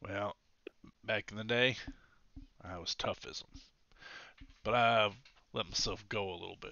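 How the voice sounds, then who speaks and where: A man uses a put-on character voice, raspy and at a medium pitch, with big swings in loudness. He talks at a moderate pace with fairly even intonation and long, frequent pauses. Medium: actual play. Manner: gruff, terse.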